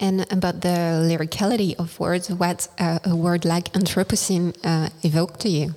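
A woman with a dark, mellow tone and fairly low pitch speaks in a monotone, flat intonation with hardly any pauses. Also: moderate pace, very even loudness. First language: French. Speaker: radio host. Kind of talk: interview. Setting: festival radio studio. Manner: halting.

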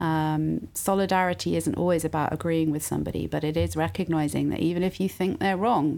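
In a British accent, a woman with a fairly low pitch talks at a moderate pace with fairly even intonation on a very clean recording with a silent background. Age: 40s. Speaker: university provost. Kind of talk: interview.

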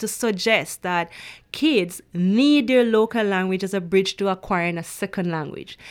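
Against a very clean recording with a silent background, a woman speaks. Her pace is fairly slow and her intonation lively. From rural Jamaica. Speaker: PhD student researcher. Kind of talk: interview.

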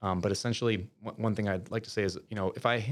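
Fairly low in pitch, a man with an American accent speaks at a very fast pace with fairly even intonation. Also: very clean recording, silent background. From Minnesota, rural south (Winona). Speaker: pharmacist and tech startup founder. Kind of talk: interview conversation. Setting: studio. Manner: hesitant, many fillers.

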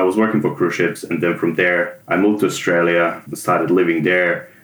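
A man with a Serbian accent speaks at a very deep, low pitch and a moderate pace, with hardly any pauses. His intonation is fairly even, and background noise is noticeable. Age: 30s. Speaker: junior web developer, former theatre automation technician. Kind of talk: interview.

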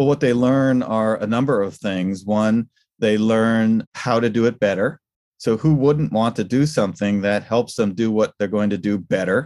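An American accent marks this man's unremarkable speaking voice, medium in pitch with ordinary variation, delivered at a moderate pace with a dry, close sound with no echo on a very clean recording with a silent background. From New York State, US. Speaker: leadership coach. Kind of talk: casual interview.

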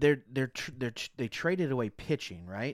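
Here is a man with an unremarkable speaking voice, medium pitch and ordinary pitch variation. The sound is dry and close with no echo, on a very clean recording with a silent background. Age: 30s. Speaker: sports fan co-panelist. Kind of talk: casual sports chat.

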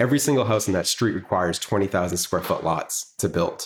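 A man talks in a plain, everyday voice with an American accent. His pitch is fairly low with ordinary pitch variation, and his pace is fairly quick. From Massachusetts, Greater Boston (Swampscott). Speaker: housing advocacy board member and urbanist. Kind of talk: podcast interview.

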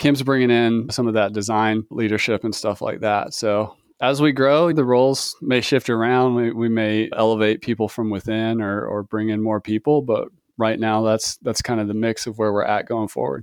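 Over a quiet background, a man in a normal speaking voice of medium pitch keeps a moderate pace, with fairly even intonation and hardly any pauses. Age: 40s. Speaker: software company co-founder. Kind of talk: interview.

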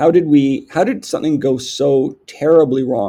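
The tone is dark and mellow, with a Canadian accent. The pace is fairly slow. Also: man. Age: 50s. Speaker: company CEO. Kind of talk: interview.

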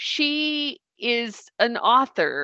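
A woman with a Southern US accent, fairly high in pitch, with a bright, sharp tone, in a dry, close sound with no echo and a quiet background. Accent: Southern American. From US South. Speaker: coach and social worker. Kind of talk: casual book discussion. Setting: video call. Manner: animated.

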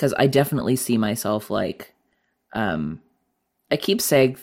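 In a very clean recording with a silent background, a man at a medium pitch speaks at a moderate pace with lively intonation and vocal fry. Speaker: musician. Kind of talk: casual interview chat.

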